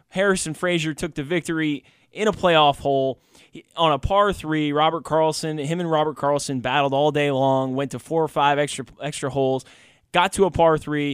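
A man at a moderate pace with ordinary pitch variation, dry with no echo against a quiet background. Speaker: radio show host. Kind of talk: radio sports talk commentary. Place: studio.

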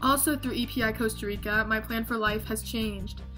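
A woman is speaking. Music plays clearly in the background. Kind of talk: prepared testimonial. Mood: earnest, heartfelt. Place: home room. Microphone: webcam.

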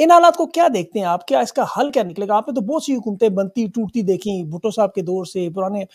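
A man with a high pitch and very wide pitch swings, over a quiet background. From Pakistan. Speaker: journalist and talk show host; journalist, talk show host. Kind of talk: news monologue; interview. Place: studio. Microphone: studio mic.

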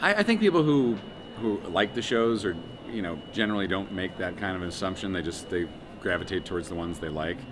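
This man has a very deep, low pitch and an American accent, with ordinary pitch variation. He talks at a very fast pace over noticeable background noise. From United States. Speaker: voice actor, writer and comedian. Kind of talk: interview answer. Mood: relaxed, thoughtful. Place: hall.

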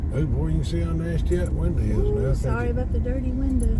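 The speaker talks at a fairly quick pace against loud background noise. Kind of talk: casual vlog chat. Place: car. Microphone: phone near.

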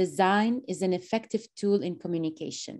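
A woman's dark, mellow tone with ordinary pitch variation against a quiet background. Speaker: workshop host. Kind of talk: event moderation. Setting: video call. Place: home room. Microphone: video call.

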